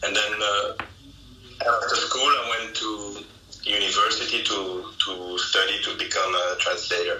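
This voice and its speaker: Audible room echo and noticeable background noise are present. Through them, a man talks at a fairly slow pace. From Belgium, French-speaking part. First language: German. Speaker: legal translator. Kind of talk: interview. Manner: halting, many fillers and restarts.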